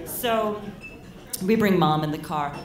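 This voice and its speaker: A woman's fairly low voice with lively intonation, over noticeable background noise. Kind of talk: live storytelling performance. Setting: live venue with audience. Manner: humorous, conversational.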